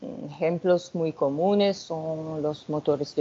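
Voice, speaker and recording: A woman speaks very slowly at a fairly low pitch with a non-native accent. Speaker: researcher, sociologist. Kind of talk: academic lecture.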